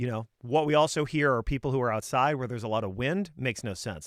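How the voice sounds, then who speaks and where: Talking at a fairly quick pace, a man with a Boston accent uses lively intonation at a medium pitch. The recording is very clean, and the background is silent. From New England (Boston). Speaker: sales trainer, cold-calling coach. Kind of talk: casual tutorial talk. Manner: fast. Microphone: good studio microphone.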